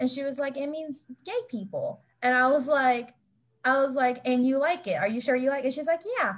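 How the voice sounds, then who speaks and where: A woman's high-pitched voice with an American accent at a moderate pace. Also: ordinary pitch variation. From West Virginia. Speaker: author. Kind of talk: interview.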